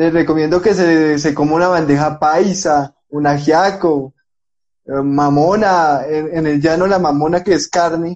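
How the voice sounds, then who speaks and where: This man has a normal speaking voice with a fairly high pitch. He talks at a fairly slow pace with fairly even intonation. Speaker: sports podcast host. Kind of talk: interview. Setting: Instagram live video call.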